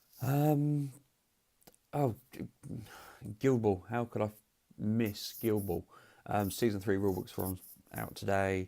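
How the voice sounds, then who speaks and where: A man with a fairly low pitch and a dark, mellow tone talks at a fairly slow pace. His pitch varies in an ordinary way, and he leaves long, frequent pauses. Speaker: tabletop games presenter. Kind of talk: casual recap to camera. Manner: hesitant, many ums.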